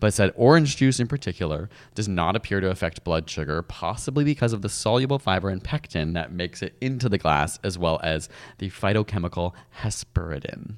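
On a very clean recording with a silent background, a man with a very deep, low pitch talks at a fairly quick pace with lively intonation. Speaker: science podcast co-host. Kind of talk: casual chat. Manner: fast.

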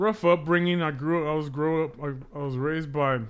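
With an American accent, a man speaks at a fairly high pitch. His pace is moderate and his intonation fairly even. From Pacoima, Los Angeles. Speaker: recovering alcoholic, sobriety group member. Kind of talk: casual podcast conversation. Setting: studio. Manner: loud; militant, hard.

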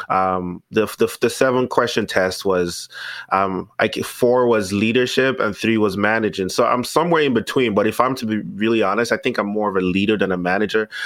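A man with a normal speaking voice talks at a fairly quick pace with hardly any pauses. His pitch is fairly low, with ordinary variation. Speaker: podcast host. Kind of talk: casual interview chat.

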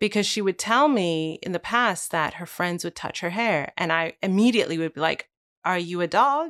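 A normal speaking voice with lively intonation moves at a moderate pace in a very clean recording with a silent background and a dry, close sound with no echo. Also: woman, fairly low pitch for a woman. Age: 30s. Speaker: author and podcast host. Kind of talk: interview conversation.

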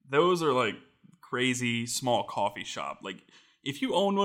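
This is a normal speaking voice from a man at medium pitch. He keeps a moderate pace with ordinary pitch variation. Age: 20s. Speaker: tech reviewer and maker. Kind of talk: casual chat.

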